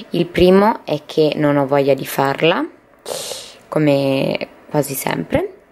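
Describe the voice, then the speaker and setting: A woman talks with a very deep, low pitch. Her pace is fairly slow and her pitch varies in an ordinary way. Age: 20s. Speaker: vlogger. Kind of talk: personal video diary. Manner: halting. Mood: worried, subdued. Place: home room. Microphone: phone near.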